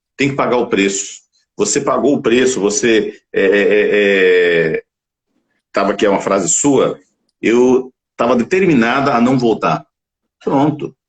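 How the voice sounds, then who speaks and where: This is a man's voice. It sounds somewhat breathy. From Bahia, Northeast Brazil. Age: 60s. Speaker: talk show host and physician. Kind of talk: live-streamed interview show. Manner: animated, motivational.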